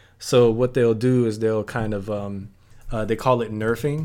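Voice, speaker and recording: A man with an American accent speaks at a medium pitch and a fairly slow pace in a monotone, flat intonation. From US South, New Orleans. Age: 20s. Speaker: gamer. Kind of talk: casual chat. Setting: at home.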